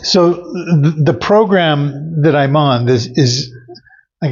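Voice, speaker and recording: An American accent marks this man's speech. His fairly high voice is somewhat breathy. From US Pacific Northwest (Oregon). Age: 70s. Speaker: patient giving a testimonial. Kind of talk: testimony. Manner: halting, many fillers.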